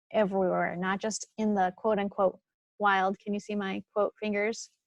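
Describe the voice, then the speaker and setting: With an ordinary speaking voice, a woman talks at a moderate pace and medium pitch, her intonation fairly even, the sound dry and close with no echo against a quiet background. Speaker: naturalist. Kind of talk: webinar presentation. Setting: webinar.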